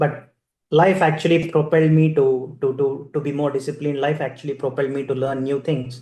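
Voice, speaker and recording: With an Indian accent, the speaker talks at a fairly quick pace in a flat monotone. The voice is somewhat breathy, with a dark, mellow tone. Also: man, fairly high pitch for a man. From India, Andhra Pradesh (Adoni, Kurnool district). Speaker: keynote speaker, corporate manager. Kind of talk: keynote speech, personal storytelling.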